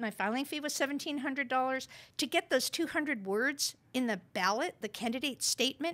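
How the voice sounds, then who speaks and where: A woman with a high pitch and a bright, sharp tone uses a raised, projected voice, speaking at a moderate pace with lively intonation. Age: 60s. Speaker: congressional candidate. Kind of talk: interview on a political talk show. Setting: studio. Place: studio. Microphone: studio mic.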